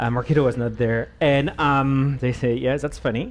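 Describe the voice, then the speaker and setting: A man with a French accent talks at a very fast pace. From France. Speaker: marketing executive. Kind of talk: panel discussion.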